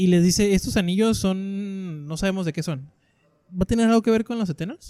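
The voice has a dark, mellow tone with ordinary pitch variation at a fairly quick pace, recorded with a dry, close sound and no echo. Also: man, high pitch for a man. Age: 20s. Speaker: podcast host. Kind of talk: casual chat.

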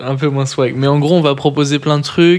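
A man speaks with fairly even intonation. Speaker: podcast co-host. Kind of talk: casual chat.

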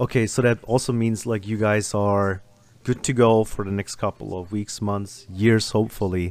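A man's fairly low voice in a German accent, flat and monotone at a moderate pace, on a very clean recording with a silent background. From Germany. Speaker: podcast host. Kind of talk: casual interview chat.

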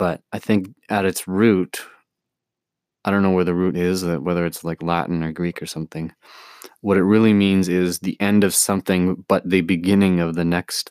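A man's very deep, low voice comes through in a monotone with flat intonation. The recording is very clean, with a silent background and a dry, close sound with no echo. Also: moderate pace. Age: 20s. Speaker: musician. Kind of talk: personal monologue. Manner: halting.

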